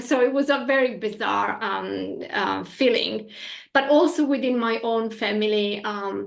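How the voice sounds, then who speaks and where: A woman speaks with an Italian accent at a fairly slow pace. Room echo is audible around her voice. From northern Italy. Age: 40s. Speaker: energy healing practitioner. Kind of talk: interview. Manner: animated.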